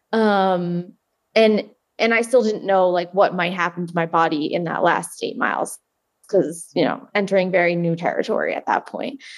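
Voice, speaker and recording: In an American accent, the speaker uses a plain, everyday voice at a moderate pace. Pitch varies in an ordinary way. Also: woman, medium pitch for a woman. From New Jersey, US. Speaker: ultramarathon runner. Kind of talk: interview.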